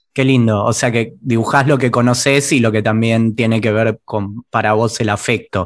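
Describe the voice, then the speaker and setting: This man has a plain, everyday voice, medium in pitch, with fairly even intonation at a moderate pace against a quiet background. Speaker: podcast host. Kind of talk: interview conversation.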